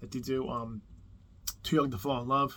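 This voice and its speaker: Delivery comes at a fairly quick pace with fairly even intonation. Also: man. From New Jersey. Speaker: music YouTuber. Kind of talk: casual video monologue. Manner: casual, rambling with fillers.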